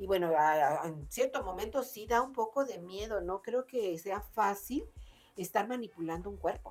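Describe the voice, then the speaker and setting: Music plays behind a woman speaking in a medium pitch. Her intonation is lively. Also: moderate pace. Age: 60s. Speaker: book podcast co-host. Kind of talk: casual chat.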